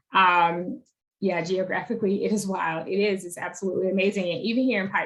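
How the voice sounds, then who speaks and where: With an Alabama accent, the speaker talks at a very fast pace with fairly even intonation. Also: woman. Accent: US Southern (Alabama). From Alabama, Monroeville (rural). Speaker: advocacy organizer. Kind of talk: online teach-in presentation.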